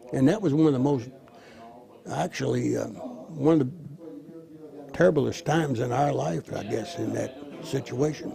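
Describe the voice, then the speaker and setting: Against noticeable background noise and audible room echo, a man with an American accent talks at a fairly slow pace with ordinary pitch variation. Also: fairly high pitch for a man. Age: 80s+. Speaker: war veteran. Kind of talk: interview.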